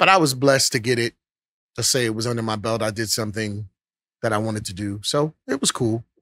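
A man with an American accent speaks very fast at a medium pitch with ordinary pitch variation. His tone is bright and sharp, and the sound is dry and close with no echo. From Brooklyn, New York (Bedford-Stuyvesant). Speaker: singer. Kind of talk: casual chat.

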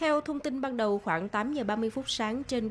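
A woman with a normal speaking voice talks at a moderate pace with lively intonation. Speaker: news reporter. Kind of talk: news reading.

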